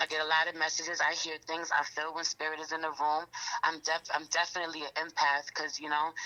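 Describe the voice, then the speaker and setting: A woman with an American accent at a very deep, low pitch, speaking at a very fast pace with monotone, flat intonation over noticeable background noise. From New York, Queens. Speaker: rapper and tarot reader. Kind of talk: interview.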